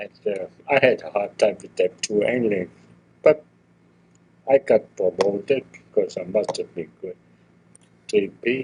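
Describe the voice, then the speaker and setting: A man with a German accent talks at a fairly slow pace, with long, frequent pauses. His loudness swings widely, and the sound is dry and close with no echo. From Germany. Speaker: retired toolmaker. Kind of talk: oral history interview. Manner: halting.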